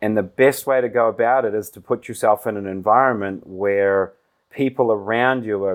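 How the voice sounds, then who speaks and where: A man with a New Zealand accent at a moderate pace, with fairly even intonation. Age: 30s. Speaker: business executive. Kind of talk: interview.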